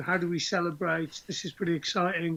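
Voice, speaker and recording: Speaking at a moderate pace, a man with a high-pitched voice keeps his intonation monotone and flat. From northern England, Teesside. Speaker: rugby coach and former player. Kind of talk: interview.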